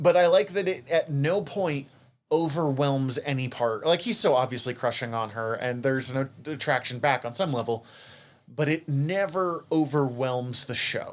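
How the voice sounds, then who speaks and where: A man with an American accent, fairly high in pitch, with ordinary pitch variation, at a moderate pace. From Montana, US. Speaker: podcast co-host. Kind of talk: casual chat.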